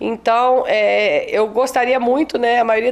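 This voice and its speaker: A woman's monotone, flat intonation over noticeable background noise. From Espírito Santo, Brazil (rural Colatina). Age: 40s. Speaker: teacher and children's author. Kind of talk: interview.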